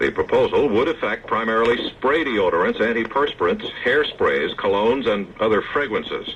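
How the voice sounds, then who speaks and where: A man speaks at a moderate pace with hardly any pauses. His loudness stays very even over noticeable background noise. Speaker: radio newscaster. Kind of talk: radio news reading. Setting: vintage AM radio broadcast.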